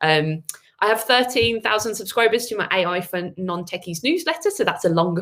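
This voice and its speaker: A woman speaks in a Birmingham accent at a medium pitch. Her pace is moderate and her intonation lively. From Birmingham, England. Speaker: agency owner and AI speaker. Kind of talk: webinar presentation. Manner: many filler words.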